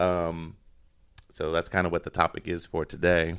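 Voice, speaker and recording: A man is speaking at a moderate pace. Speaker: podcast host. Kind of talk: casual chat. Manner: loud; hesitant, many fillers.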